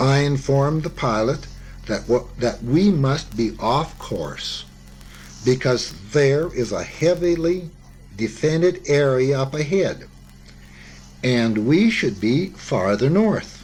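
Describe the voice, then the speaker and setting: A man with a fairly high, somewhat breathy voice speaks at a very slow pace with long, frequent pauses. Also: lively intonation. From Canada. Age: 70s. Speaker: war veteran. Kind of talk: memoir reading.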